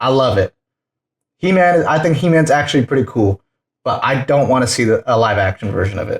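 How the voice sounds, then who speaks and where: A somewhat breathy voice with lively intonation moves at a fairly quick pace, recorded dry and close with no echo. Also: man. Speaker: podcast host. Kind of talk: casual chat. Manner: animated; quieter.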